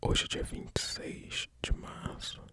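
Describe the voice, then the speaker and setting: There is noticeable background noise as the words come out in a whisper at a very slow pace. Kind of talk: ASMR news reading. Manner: whispered.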